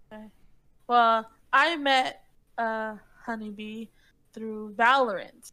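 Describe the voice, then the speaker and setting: Very slow and broken by long, frequent pauses, a woman's voice comes through with a fairly high pitch and a bright, sharp tone. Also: fairly even intonation. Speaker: podcast co-host and gamer streamer. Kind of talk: casual chat.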